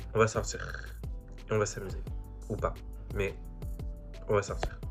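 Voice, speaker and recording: There is music in the background as a man speaks. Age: young. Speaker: student. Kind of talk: casual talk to camera.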